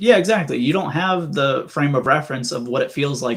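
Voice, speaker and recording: Here a man speaks in a plain, everyday voice. His pitch is medium and his pace fairly quick. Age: 20s. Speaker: AVM survivor. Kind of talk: interview.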